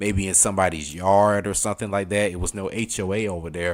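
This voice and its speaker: With a strong Southern US accent, a man talks at a fairly quick pace in an animated tone on a very clean recording with a silent background. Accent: thick southern US. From US South, Atlanta. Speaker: streamer. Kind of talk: casual chat. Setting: live stream.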